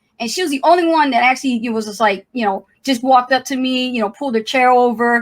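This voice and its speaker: A woman with a New Jersey accent and a high pitch speaks at a very fast pace in an animated tone with ordinary pitch variation. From New Jersey, Trenton. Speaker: YouTuber, coach. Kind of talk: casual livestream chat. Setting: live stream.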